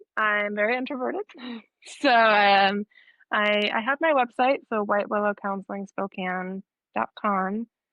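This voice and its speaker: A woman has an ordinary speaking voice, fairly high in pitch. She keeps a moderate pace with ordinary pitch variation. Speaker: therapist. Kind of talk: interview.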